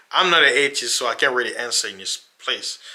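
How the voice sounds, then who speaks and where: A man talks at a fairly quick pace. He speaks with an African accent. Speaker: religious YouTuber. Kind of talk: casual monologue to camera. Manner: animated.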